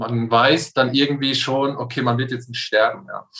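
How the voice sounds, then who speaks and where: This man has an unremarkable speaking voice, pitched at medium height, moving at a moderate pace with fairly even intonation. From Palatinate, Germany. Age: 30s. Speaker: coaching client. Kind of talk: casual interview.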